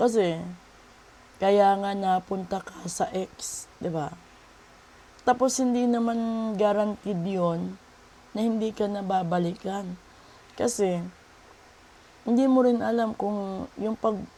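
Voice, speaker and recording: Speaking very slowly with long, frequent pauses, a woman uses a medium-pitched voice with a dark, mellow tone and ordinary pitch variation. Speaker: tarot reader and spiritual healer. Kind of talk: tarot reading video.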